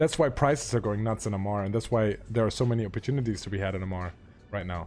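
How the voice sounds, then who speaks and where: A man's fairly low voice with a German accent at a very fast pace, music in the background. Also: ordinary pitch variation. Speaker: Twitch streamer and game trading guide. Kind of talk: live stream Q&A. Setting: live stream answering chat. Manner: hesitant, many fillers.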